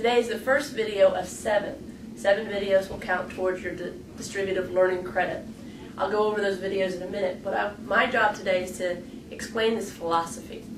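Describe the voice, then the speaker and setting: The speech moves at a fairly quick pace with ordinary pitch variation. Noticeable background noise and audible room echo are present. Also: woman, medium pitch for a woman. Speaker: educator / staff trainer. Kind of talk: instructional video lecture. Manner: fast.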